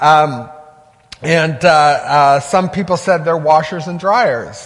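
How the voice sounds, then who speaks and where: A man with a fairly high pitch talks fairly slowly and with fairly even intonation, with audible room echo and noticeable background noise. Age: 50s. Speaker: pastor. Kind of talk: sermon. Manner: halting.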